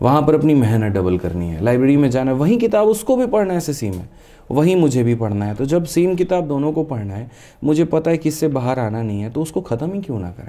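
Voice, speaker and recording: With a dark, mellow tone and a fairly high pitch, a man talks in very wide pitch swings, hardly pausing at all. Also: moderate pace. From Bihar, West Champaran (Bettiah); Bihar. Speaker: maths teacher; teacher as podcast guest. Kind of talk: interview. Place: studio. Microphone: studio mic.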